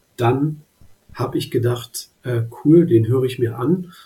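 A man's medium-pitched, somewhat breathy voice, dark and mellow in tone, at a very slow pace. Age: 30s. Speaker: finance content creator. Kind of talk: interview.

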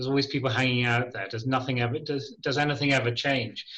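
Fairly even intonation in an English accent. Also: man. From Ireland, schooled in England. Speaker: charity chief executive. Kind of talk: radio interview.

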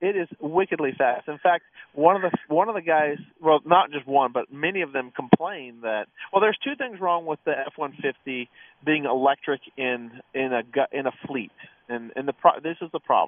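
This man talks at a moderate pace, his fairly high pitch showing ordinary variation. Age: 60s. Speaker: radio co-host, towing business owner. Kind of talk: casual radio talk show chat. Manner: halting, many repeated words.

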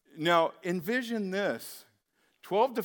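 Very slow speech with lively intonation on a very clean recording with a silent background. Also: man. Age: 30s. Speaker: pastor. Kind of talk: sermon.

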